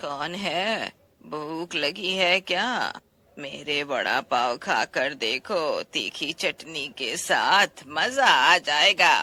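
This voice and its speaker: Putting on a character voice, a man talks very slowly at a fairly high pitch. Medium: audio drama. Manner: sly, sweet-talking with menace beneath.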